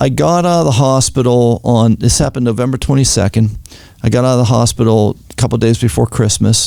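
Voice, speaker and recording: Speaking at a fairly quick pace, a man with a Pittsburgh accent keeps a medium pitch, ordinary pitch variation, and very even loudness. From Pittsburgh, Pennsylvania. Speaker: retired FBI agent. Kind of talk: interview testimony.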